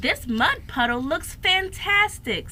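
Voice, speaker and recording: A woman's put-on character voice, extremely high in pitch with very wide pitch swings, at a fairly slow pace over clear background noise. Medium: read story.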